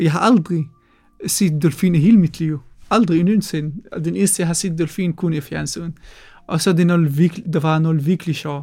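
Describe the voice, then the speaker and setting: Music plays in the background while a man speaks with an Arabic accent. His voice is high-pitched, with fairly even intonation. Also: moderate pace. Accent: Arabic-accented Danish. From Palestine. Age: 20s. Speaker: refugee storyteller. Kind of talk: personal testimony. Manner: halting, hesitant.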